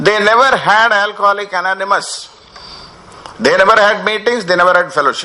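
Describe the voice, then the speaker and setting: Over noticeable background noise, a man with an Indian accent talks at a fairly quick pace in a raised, projected voice, high in pitch, with fairly even intonation. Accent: Indian accent in his speech. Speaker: recovery program speaker. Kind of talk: workshop talk. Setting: workshop with audience. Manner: mixes Hindi and English, halting with fillers.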